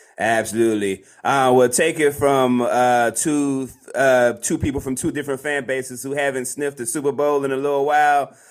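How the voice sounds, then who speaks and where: A man speaks with a normal speaking voice at a medium pitch and moderate pace, with fairly even intonation and hardly any pauses. The recording is very clean, with a silent background. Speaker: podcast co-host, sports talk. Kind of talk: casual sports banter.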